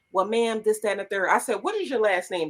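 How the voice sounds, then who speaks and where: A woman speaks in an animated tone. Her pitch varies in an ordinary way. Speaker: podcast co-host. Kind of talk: casual chat. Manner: sounds aggressive when talking regularly.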